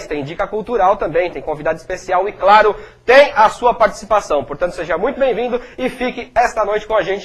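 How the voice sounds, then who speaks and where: A man puts on a hoarse character voice, high-pitched with ordinary pitch variation, talking at a fairly quick pace. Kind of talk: broadcast host.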